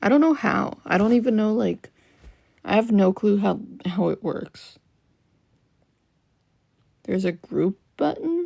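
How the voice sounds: A woman's slightly mellow, medium-pitched voice with vocal fry, slow pace and long, frequent pauses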